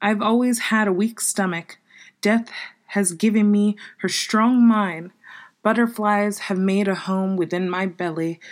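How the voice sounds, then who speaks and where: A normal speaking voice at a fairly slow pace with fairly even intonation, on a very clean recording with a silent background. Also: woman, medium pitch for a woman. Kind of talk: poetry reading of dark, original poems.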